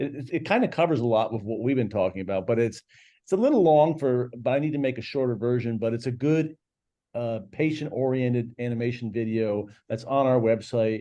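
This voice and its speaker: This man talks at a fairly quick pace in a dark, mellow tone, at a medium pitch with ordinary pitch variation. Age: 60s. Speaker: CEO of a medical testing company. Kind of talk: interview. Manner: halting.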